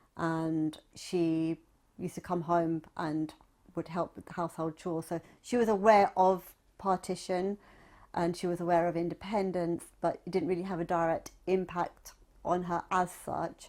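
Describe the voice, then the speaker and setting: In a British accent, a woman reads at a moderate pace with monotone, flat intonation on a very clean recording with a silent background. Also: fairly low pitch for a woman. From Southwest London, England. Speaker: oral history interviewee, writer. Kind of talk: oral history testimony.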